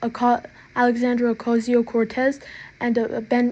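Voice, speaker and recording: A woman mumbles in a put-on character voice pitched high. She keeps a flat monotone at a fairly slow pace. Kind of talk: casual, hesitant, full of fillers. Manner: mumbling.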